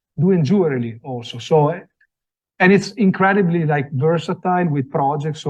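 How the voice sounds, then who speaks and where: A man speaks in an Italian accent with lively intonation. His voice is somewhat breathy and his pace moderate. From Italy. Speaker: design products sales representative. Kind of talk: product presentation. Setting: after-hours event with live audience. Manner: halting, many fillers.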